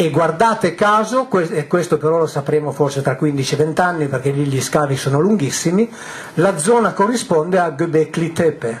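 A man's high pitch with very wide swings, very even loudness, and light background noise. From northwest Italy near the French border. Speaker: author and public lecturer on ancient texts; public lecturer on ancient texts. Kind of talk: lecture to a live audience. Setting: hall with a large live audience. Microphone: headset.

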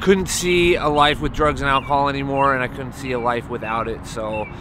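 Loud background noise surrounds a man who talks fairly quickly with normal pitch variation. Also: dry sound with no echo. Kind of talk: interview answer. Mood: earnest personal story. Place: street. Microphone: phone near.

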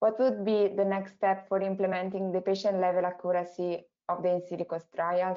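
A woman speaks at a medium pitch. Her pace is fairly quick.

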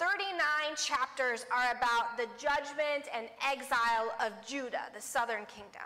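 A woman speaks at a very slow pace in a raised, projected voice. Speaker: preacher. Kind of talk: sermon. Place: church.

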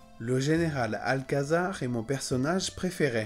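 Fairly high-pitched man with lively intonation at a fairly slow pace, faint music in the background. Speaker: French pronunciation teacher. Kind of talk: slow, clear pronunciation demonstration. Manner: slow, clear.

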